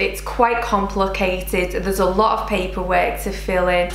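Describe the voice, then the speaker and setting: Light background noise and audible room echo surround a woman as she talks. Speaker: home vlogger. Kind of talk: casual vlog chat. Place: kitchen.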